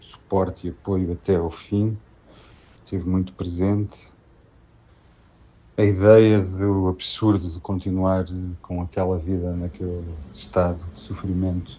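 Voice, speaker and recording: With a very deep, low pitch and a dark, mellow tone, a man talks in a monotone, flat way at a fairly slow pace, with long, frequent pauses and big swings in loudness. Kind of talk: personal testimony about a loved one's death. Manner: hesitant, reflective.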